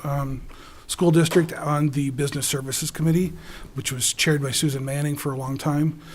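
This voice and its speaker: A man with a Wisconsin accent speaks at a fairly quick pace in a flat monotone, his pitch fairly high. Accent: Upper Midwest (Wisconsin). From Wisconsin (Dodgeville). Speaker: school board candidate. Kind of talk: candidate forum statement.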